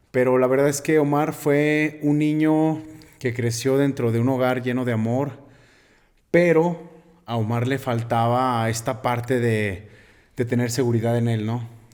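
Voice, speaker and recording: In a room with audible echo, a man speaks fairly slowly at a medium pitch with fairly even intonation. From Mexico, Aguascalientes (Jesús María). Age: 30s. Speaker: bodybuilder and nutrition student. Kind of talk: interview conversation.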